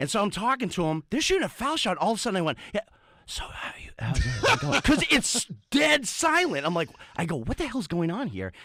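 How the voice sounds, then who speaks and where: Loud and animated in tone, a man with an American accent talks at a fairly quick pace, his high pitch making very wide swings. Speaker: radio sports show co-host. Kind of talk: rant on sports radio. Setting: radio studio. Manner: animated, fired up.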